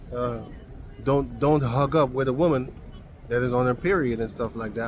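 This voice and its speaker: A man's pitch varies in an ordinary way as he talks, with noticeable noise behind him. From Suriname. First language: not English. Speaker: Bible teacher. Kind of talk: bible study talk. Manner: halting; casual.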